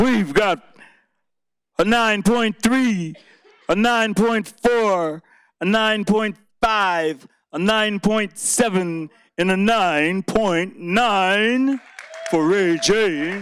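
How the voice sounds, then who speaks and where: Delivered at a very slow pace with long, frequent pauses, the speech keeps very even loudness and ordinary pitch variation. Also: man, high pitch for a man. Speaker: poetry slam emcee. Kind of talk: emcee announcing at a live poetry slam. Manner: energetic, casual.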